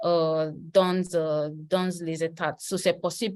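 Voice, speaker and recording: A woman's voice in monotone, flat intonation. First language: English (speaking French). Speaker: political analyst. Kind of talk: interview. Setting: video call. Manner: halting, many hesitations.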